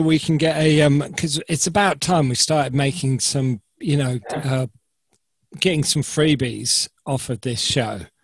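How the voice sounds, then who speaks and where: Somewhat breathy, a man talks at a moderate pace with a fairly high pitch. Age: 50s. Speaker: podcast co-host. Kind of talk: casual chat.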